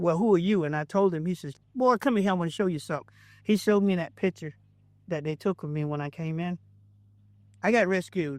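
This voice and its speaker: With a Southern US accent, a man speaks at a fairly quick pace in a high voice with ordinary pitch variation over a quiet background. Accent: Southern US (Georgia). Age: 60s. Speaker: pastor. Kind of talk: testimony.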